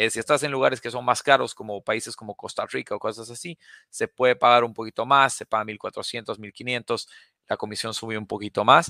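A man's bright, sharp medium-pitched voice at a fairly quick pace, with big swings in loudness, in a dry, close sound with no echo. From Bolivia, La Paz. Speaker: sales expert. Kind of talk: Q&A webinar interview. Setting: live webinar.

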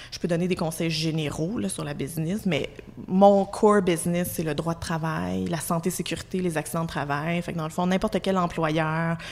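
A woman with a Quebec accent speaks in a fairly low pitch, her intonation monotone and flat. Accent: Québécois French. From Quebec, Abitibi (Amos). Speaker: employment lawyer. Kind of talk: casual chat.

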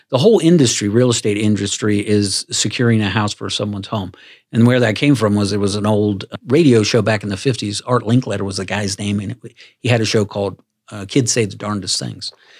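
A man talks in an ordinary speaking voice at a fairly quick pace, his pitch fairly low with ordinary variation, on a very clean recording with a silent background. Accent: American. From US Mid-Atlantic, Washington D.C. area, Maryland. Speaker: podcast host. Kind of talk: interview podcast.

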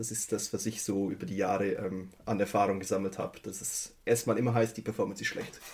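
A man speaks at a fairly quick pace in a fairly low pitch, his intonation monotone and flat, with hardly any pauses. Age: 30s. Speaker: IT systems engineer. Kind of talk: casual chat.

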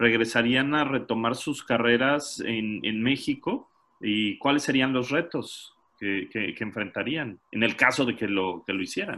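The voice has a bright, sharp tone, ordinary pitch variation and a fairly slow pace. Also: man, medium pitch for a man. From Mexico. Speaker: podcast host. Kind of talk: casual chat.

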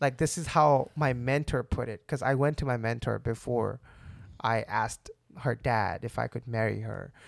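A man talks at a moderate pace, medium in pitch with fairly even intonation and some vocal fry. The recording is very clean, with a silent background. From India. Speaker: worship leadership student. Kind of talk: casual chat.

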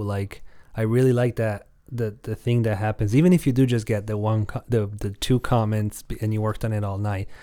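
Fairly low-pitched male voice with a dark, mellow tone and an Italian accent, fairly even intonation, a moderate pace, and a very clean recording with a silent background. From Italy. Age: 20s. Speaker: music producer and YouTuber. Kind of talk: casual chat.

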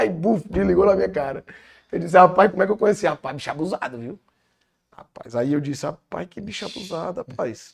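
A man at high pitch and very fast pace, with very wide pitch swings and big swings in loudness. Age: young. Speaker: businessman and engineer. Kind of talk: interview, personal testimony.

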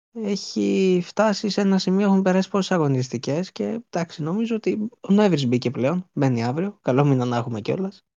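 A man speaks at a moderate pace with a high pitch. His pitch swings very widely. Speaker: football podcast co-host. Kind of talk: casual chat.

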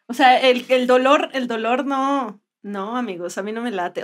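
This is an unremarkable speaking voice. Its intonation is lively. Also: woman. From Mexico, Puebla. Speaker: comedian and podcast co-host. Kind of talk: casual comedic chat.

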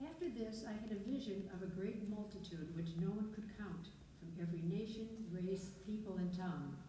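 Against noticeable background noise, a woman at a medium pitch talks at a moderate pace with ordinary pitch variation. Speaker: scripture reader. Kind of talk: reading aloud scripture.

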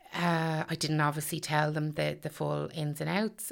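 In a Meath Irish accent, a woman speaks at a very deep, low pitch. Her pace is fairly slow. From Ireland, County Meath. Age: 40s. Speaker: stay-at-home mother sharing eating disorder experience. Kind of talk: personal testimony interview. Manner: hesitant, many fillers.

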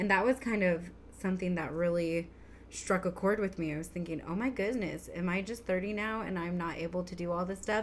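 A woman's normal speaking voice, medium in pitch, with fairly even intonation and a moderate pace. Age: 30s. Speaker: podcast co-host, mom. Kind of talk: casual chat.

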